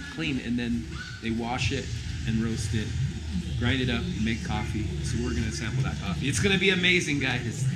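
Speaking at a moderate pace, a man is heard over loud background noise. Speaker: travel vlogger. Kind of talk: casual vlog chat. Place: cafe. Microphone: phone near.

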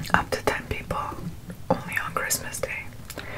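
A woman is speaking. She whispers. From Montreal, Quebec. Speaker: ASMR mukbang creator. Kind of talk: ASMR eating show talk to camera. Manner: whispered.

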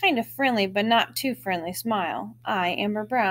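Pitch varies in an ordinary way in this plain reading aloud.

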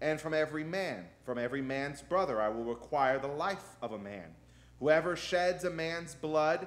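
Moderate pace and ordinary pitch variation from a male speaker. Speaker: pastor. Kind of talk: sermon scripture reading. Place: church. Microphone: podium.

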